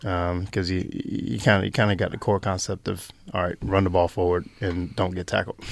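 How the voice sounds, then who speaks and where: A man with a very deep, low pitch speaks at a fairly quick pace on a very clean recording with a silent background. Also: ordinary pitch variation. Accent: North Carolina. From US South, North Carolina. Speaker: Australian rules footballer, former basketball player. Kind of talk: interview.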